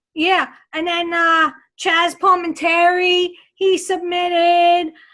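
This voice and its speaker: With a strong New York accent, a woman speaks at an extremely high pitch in a bright, sharp tone. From Long Island, New York. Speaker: radio co-host. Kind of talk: casual chat.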